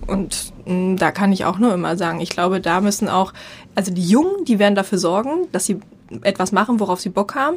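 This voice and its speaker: Here is a woman with an ordinary speaking voice, medium pitch and ordinary pitch variation, talking at a fairly quick pace. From eastern Germany. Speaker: marketing and network expert, founder of a women's network. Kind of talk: interview.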